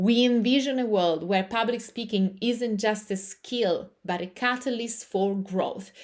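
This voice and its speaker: Speaking in an Italian accent, a woman has a fairly high pitch and ordinary pitch variation. She moves at a fairly slow pace with hardly any pauses. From Italy. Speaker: yoga teacher and public speaking coach. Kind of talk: live online class. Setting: livestream on camera.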